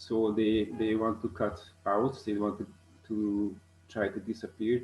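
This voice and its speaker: With music playing in the background, a man with a Hungarian accent and a fairly low pitch speaks at a fairly slow pace. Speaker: ornithologist. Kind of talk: conference presentation. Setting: online video call. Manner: halting, many fillers.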